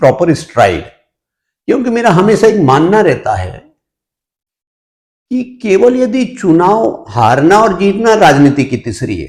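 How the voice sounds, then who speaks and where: Pausing long and often, a man speaks at a high pitch with very wide pitch swings. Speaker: politician. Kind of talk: interview. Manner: hesitant with frequent fillers.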